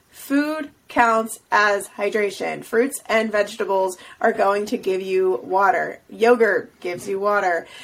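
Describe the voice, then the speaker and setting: With hardly any pauses, a woman speaks at a fairly slow pace in an unremarkable speaking voice, medium in pitch with ordinary pitch variation. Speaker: podcast co-host. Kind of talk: casual chat.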